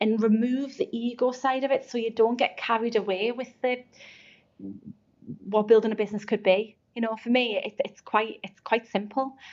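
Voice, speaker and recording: In a Geordie accent, a woman with a fairly high pitch talks at a moderate pace in a monotone, flat intonation. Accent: Geordie, never changed. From North East England (Geordie). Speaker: recruitment agency founder. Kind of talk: podcast interview.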